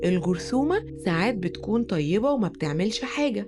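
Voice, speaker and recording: A woman with an Egyptian accent speaks at a fairly slow pace. Music plays in the background. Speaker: storyteller. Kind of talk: children's bedtime story.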